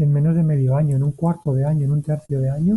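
Fairly high-pitched, somewhat breathy male voice with a dark, mellow tone. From Spain, Valencia. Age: 30s. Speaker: ultra-distance athlete and cancer survivor. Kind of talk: interview, personal testimony. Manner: halting, with frequent repetitions.

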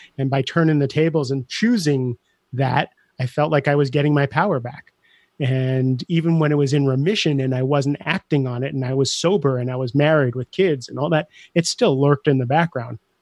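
This man's voice is an unremarkable speaking voice, fairly high in pitch with ordinary variation, moving at a fairly quick pace in a dry, close sound with no echo. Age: 50s. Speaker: life coach and podcast host. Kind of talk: interview conversation.

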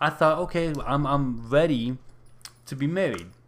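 With an unremarkable speaking voice, a man keeps to a medium pitch and ordinary pitch variation. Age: 30s. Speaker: podcast host and aspiring minister. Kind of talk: casual solo talk and Bible study.

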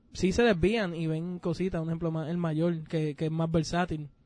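Over a quiet background, a man talks at a moderate pace in a high voice with a dark, mellow tone. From Puerto Rico. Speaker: podcast co-host. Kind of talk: casual chat.

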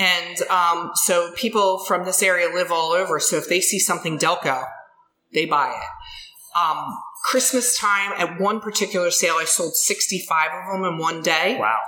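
In a Philadelphia accent, a woman speaks at a medium pitch and moderate pace with very even loudness and ordinary pitch variation, amid noticeable background noise and audible room echo. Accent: Philadelphia-area American. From Delaware County, Pennsylvania (Ridley Township). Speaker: soap maker and small business owner. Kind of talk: casual interview.

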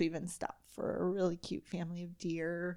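A woman with a Southern US accent and fairly low pitch speaks at a moderate pace in a very clean recording with a silent background. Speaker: podcast host. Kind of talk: casual chat.

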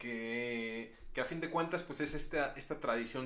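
This is a man's voice. You can hear echo from the room. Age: 20s. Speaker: film podcast host. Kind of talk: casual chat.

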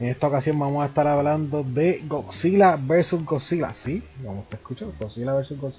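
Despite noticeable background noise, a man talks at a moderate pace and a fairly high pitch, with lively intonation and hardly any pauses. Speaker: podcast host. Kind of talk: casual chat.

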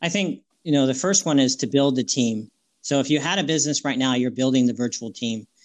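A man with a plain, everyday voice, medium pitch and a fairly quick pace, over a quiet background. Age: 50s. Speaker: business networking organizer. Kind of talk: interview.

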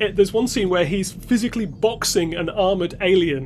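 A man with a high voice talks at a fairly quick pace against noticeable background noise. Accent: British. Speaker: podcast co-host. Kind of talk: casual chat.

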